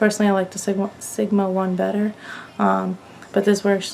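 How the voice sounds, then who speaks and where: A woman speaks at a moderate pace in a monotone, flat intonation. Noticeable background noise runs underneath. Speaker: makeup artist. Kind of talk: beauty tutorial.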